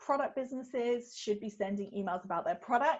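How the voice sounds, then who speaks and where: A woman's voice with ordinary pitch variation. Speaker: retail business consultant. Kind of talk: webinar Q&A. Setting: online webinar. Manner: fast; hesitant, many fillers.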